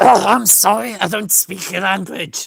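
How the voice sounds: A put-on character voice, female-sounding and raspy, at a medium pitch for a woman and a fairly slow pace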